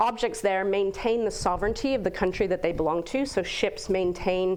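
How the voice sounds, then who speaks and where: A woman with an American accent talks in a normal speaking voice at a medium pitch. Her pitch variation is ordinary, her loudness very even, and the background quiet. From United States. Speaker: guest speaker on space governance. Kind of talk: lecture.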